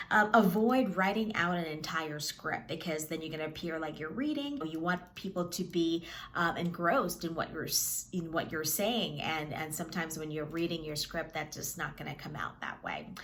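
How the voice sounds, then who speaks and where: Noticeable background noise sits under speech that has hardly any pauses and ordinary pitch variation. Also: woman, fairly low pitch for a woman. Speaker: media coach. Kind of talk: tutorial. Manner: fast.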